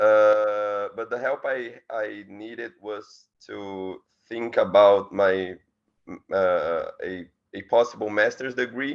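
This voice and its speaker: A very slow male voice with a Portuguese accent, fairly low pitch, fairly even intonation and big swings in loudness. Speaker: student. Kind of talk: self-introduction in video call. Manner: halting.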